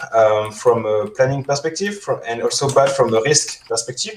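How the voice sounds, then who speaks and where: This man speaks with a French accent at a fairly quick pace. His pitch is fairly high, with ordinary variation. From France. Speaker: security engineer. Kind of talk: conference talk. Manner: halting, many fillers.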